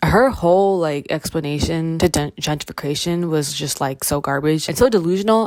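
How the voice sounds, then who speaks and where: A woman with an unremarkable speaking voice talks in a Canadian accent at a moderate pace. Her pitch is fairly low, with ordinary variation. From Toronto, Canada. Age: young. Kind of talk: casual film analysis talk to camera.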